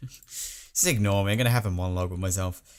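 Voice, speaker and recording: A man with an English accent talks at a fairly quick pace in an animated tone. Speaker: gaming video creator. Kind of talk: gameplay commentary.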